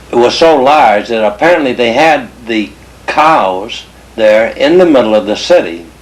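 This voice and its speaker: A man with a medium pitch speaks at a fairly slow pace with lively intonation. Noticeable background noise sits behind him. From England (Liverpool) until age eight, then emigrated. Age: 70s. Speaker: family elder telling family history. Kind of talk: oral history storytelling. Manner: slow, halting with self-corrections.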